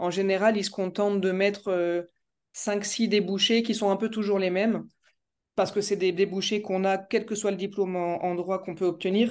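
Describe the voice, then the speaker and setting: Against a quiet background, a woman speaks in a flat monotone. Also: medium pitch for a woman, moderate pace. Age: 30s. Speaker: law student. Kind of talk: interview. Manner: halting.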